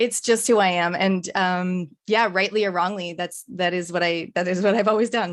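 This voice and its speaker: Against a quiet background, the speech moves at a moderate pace with hardly any pauses and fairly even intonation. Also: woman, medium pitch for a woman. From Canada. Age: 40s. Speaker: business coach and speaker. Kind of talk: podcast interview.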